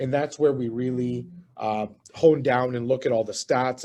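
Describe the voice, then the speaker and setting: A man speaks in a flat monotone. His tone is dark and mellow. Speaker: real estate investment presenter. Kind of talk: webinar presentation. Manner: fast.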